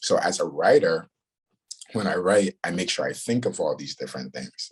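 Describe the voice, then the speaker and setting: A man speaks with a Ghanaian accent. His pace is moderate. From Ghana, moved to New York. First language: Ghanaian language. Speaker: writer and director. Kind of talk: interview. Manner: halting, many fillers.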